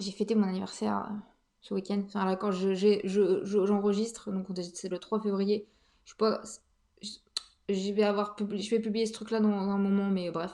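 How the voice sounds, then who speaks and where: A woman speaks at a medium pitch in a dark, mellow tone. Her delivery is monotone and flat, broken by long, frequent pauses. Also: moderate pace. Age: 30s. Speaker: podcast host. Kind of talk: casual monologue. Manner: hesitant, many fillers.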